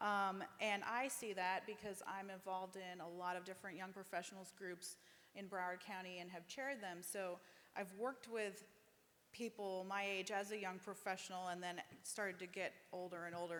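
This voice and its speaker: A woman with an unremarkable speaking voice talks at a moderate pace and medium pitch, with fairly even intonation. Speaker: economic development communications director. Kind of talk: panel discussion.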